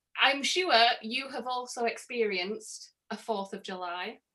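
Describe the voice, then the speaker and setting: Her voice is fairly high-pitched with a bright, sharp tone, as this woman speaks at a fairly slow pace with ordinary pitch variation. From northern England, Middlesbrough. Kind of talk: casual chat. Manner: animated.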